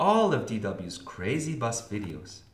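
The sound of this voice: What we hear is an unforced reading voice.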